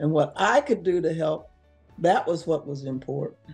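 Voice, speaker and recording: Faint music runs in the background as the speaker talks at a moderate pace. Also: woman. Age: 80s+. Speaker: retired teacher. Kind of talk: interview answer. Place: home room. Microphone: camera far.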